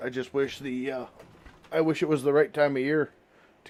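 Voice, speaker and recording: An American accent from a man, fairly high in pitch, at a moderate pace with ordinary pitch variation. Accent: sounds Canadian to viewers. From United States. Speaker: gaming streamer. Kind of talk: live stream commentary. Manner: halting.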